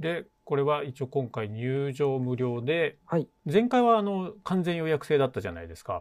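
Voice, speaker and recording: A man is speaking with very wide pitch swings. He leaves hardly any pauses. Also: fairly high pitch for a man, moderate pace. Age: 40s. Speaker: podcast host, string instrument repairer. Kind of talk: casual interview.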